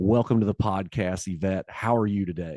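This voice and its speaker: A man's fairly low voice moves at a fairly slow pace with ordinary pitch variation, recorded dry and close with no echo over a quiet background. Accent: Southern US. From US South. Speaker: podcast host. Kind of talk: scripted intro; interview.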